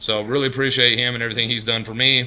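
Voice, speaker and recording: Noticeable background noise fills the recording. Over it, a man speaks at a very fast pace. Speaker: couponing vlogger. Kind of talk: casual vlog monologue. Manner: monotone.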